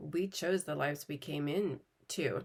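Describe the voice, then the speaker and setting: A woman's very deep, low voice carries vocal fry and ordinary pitch variation. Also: very clean recording, silent background. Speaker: spiritual healer and oracle card reader. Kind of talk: spiritual teaching monologue. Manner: halting, many fillers.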